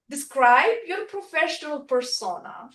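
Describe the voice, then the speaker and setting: Pitch swings are very wide here. The delivery comes at a fairly slow pace. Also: woman. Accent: non-native. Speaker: workshop presenter. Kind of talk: workshop presentation. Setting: room with live and online audience.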